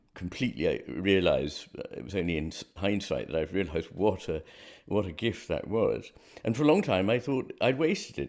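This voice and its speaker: Male speech with vocal fry and very wide pitch swings, at a moderate pace against a quiet background. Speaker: remote podcast guest. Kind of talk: interview answer. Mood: reflective, occasionally laughing. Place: home room. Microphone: earbuds.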